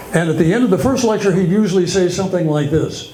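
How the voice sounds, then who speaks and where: Intonation is lively as this man talks. Behind him, background noise is noticeable. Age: 80s+. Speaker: stand-up comedian. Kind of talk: stand-up comedy set to a live audience. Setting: live comedy club.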